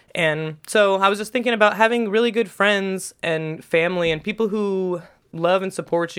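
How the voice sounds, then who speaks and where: In an American accent, the speaker moves at a moderate pace with a playful tone and hardly any pauses. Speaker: podcast host. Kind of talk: casual chat. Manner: joking, playful.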